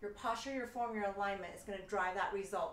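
An upbeat tone comes through with audible room echo. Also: woman. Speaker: fitness instructor. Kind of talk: live-cued workout instruction with rapid countdowns. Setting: home studio, solo video workout. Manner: brisk, rhythmic counting cues; upbeat, encouraging coach. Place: home room. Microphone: camera far.

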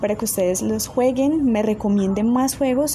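Background noise is noticeable in this clip. The woman's pitch varies in an ordinary way as she talks at a moderate pace. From Colombia. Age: 20s. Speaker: tech channel host. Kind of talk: casual tutorial talk. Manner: halting, many fillers.

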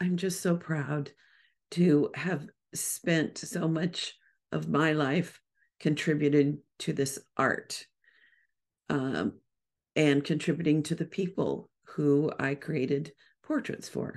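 In a put-on character voice, a woman speaks very slowly with a very deep, low pitch, a raspy sound and fairly even intonation against a quiet background. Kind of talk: solo podcast monologue. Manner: proud. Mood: heartfelt, proud.

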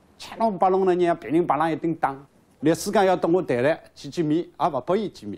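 Pitch varies an ordinary amount as the talking runs fairly quick. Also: man. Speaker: prisoner, former property executive. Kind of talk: interview. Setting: prison. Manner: halting. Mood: earnest, aggrieved recollection. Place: office.

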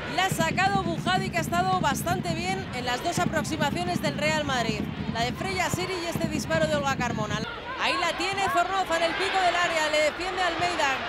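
The tone is animated and the pace fairly quick. Crowd noise runs in the background. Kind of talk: live sports commentary. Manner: fast, animated play-by-play delivery; excited, exclamatory.

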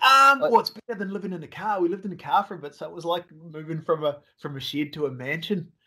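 Against a quiet background, a man with an Australian accent talks at a very fast pace in a high pitch and a bright, sharp tone. His intonation is lively and his loudness swings widely. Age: 40s. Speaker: hog hunting filmmaker; guest. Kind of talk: casual interview chat. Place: home room.

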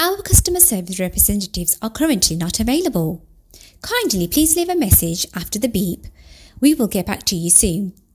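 Over noticeable background noise, a woman speaks at a medium pitch. Her pitch swings very widely. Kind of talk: phone IVR automated call greeting.

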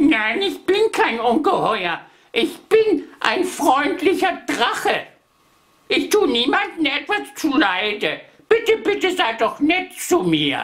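An extremely high-pitched, put-on character voice, delivered at a fairly slow pace. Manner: pleading.

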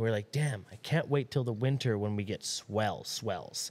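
Ordinary pitch variation marks this man's speech. He keeps a moderate pace. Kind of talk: casual chat. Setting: studio. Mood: relaxed storytelling. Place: shop. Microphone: studio mic.

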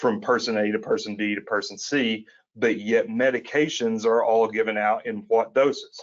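The man talks at a moderate pace with an Appalachian accent. His pitch is medium and his intonation fairly even. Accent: Appalachian Southern US. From Eastern Kentucky, Appalachia. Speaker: attorney, co-host. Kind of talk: conversational podcast discussion.

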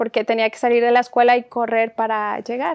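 A woman's high-pitched voice over a quiet background. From Mexico, Guerrero. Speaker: nurse and nursing teacher. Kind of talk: testimony interview. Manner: halting. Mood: calm, reflective storytelling. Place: studio. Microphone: lapel.

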